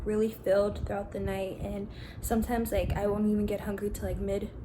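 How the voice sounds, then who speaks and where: Soft-spoken, a woman talks with audible room echo around her. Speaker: vlogger. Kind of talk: casual vlog narration. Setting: home kitchen.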